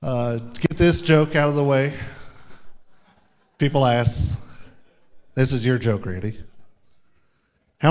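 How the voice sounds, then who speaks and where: Heard with audible room echo, a man with an American accent speaks at a moderate pace and a medium pitch with ordinary pitch variation. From Kansas, Topeka. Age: 30s. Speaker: sheriff's deputy and storm chaser. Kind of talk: conference presentation.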